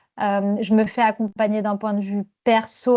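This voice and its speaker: Against a quiet background, a woman speaks at a fairly slow pace with a medium pitch and a dark, mellow tone. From southern France. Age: 40s. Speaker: management coach. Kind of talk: podcast interview. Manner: hesitant, many fillers.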